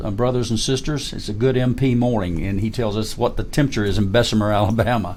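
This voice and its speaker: With audible room echo, a man speaks very fast at a medium pitch, keeping his intonation fairly even. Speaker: retired army colonel. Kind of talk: interview.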